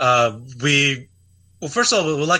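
A man speaks with ordinary pitch variation in a very clean recording with a silent background. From Russia (USSR), raised in California from age ten. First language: Russian. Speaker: firearms parts company founder. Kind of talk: interview.

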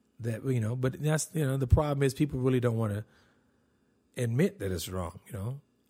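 A man with a medium-pitched voice talks at a fairly quick pace in a dark, mellow, somewhat breathy tone, his intonation lively, on a very clean recording with a silent background. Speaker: podcast host and comedian. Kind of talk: casual solo podcast monologue, comedic. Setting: home recording, alone. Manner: candid, self-deprecating, profane.

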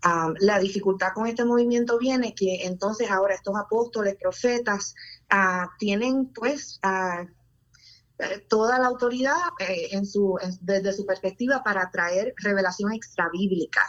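A woman's normal speaking voice, medium in pitch, at a fairly slow pace with ordinary pitch variation. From Puerto Rico. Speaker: pediatrician. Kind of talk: testimony.

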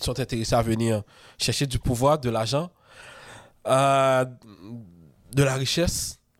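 On a very clean recording with nothing audible in the background, the talking proceeds at a moderate speed. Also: man. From Haiti. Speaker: freemason author and podcaster. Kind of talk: casual interview.

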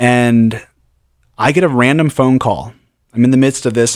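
Recorded very cleanly against a silent background, a man has an ordinary speaking voice at medium pitch with fairly even intonation. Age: 30s. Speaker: radio host. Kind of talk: casual chat.

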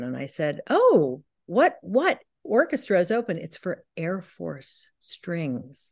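A woman speaks with vocal fry and very wide pitch swings. The background is quiet. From US West Coast, San Francisco. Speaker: author and painter. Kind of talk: interview conversation.

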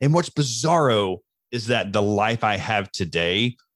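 Speech comes at a very slow pace in a Southern US accent, with a dry, close sound free of echo and a quiet background. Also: man. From US Deep South. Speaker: mental health speaker in addiction recovery. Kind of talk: casual interview. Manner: animated.

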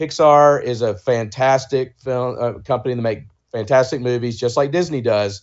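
A man with an American accent speaks in a normal speaking voice at a medium pitch, a moderate pace and fairly even intonation. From US South, Georgia. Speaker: author and brand agency founder. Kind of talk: interview.

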